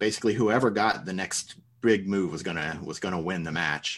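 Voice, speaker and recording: At a fairly quick pace, an ordinary speaking voice with ordinary pitch variation comes through over a quiet background. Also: man. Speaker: podcast co-host, teacher. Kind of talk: casual chat.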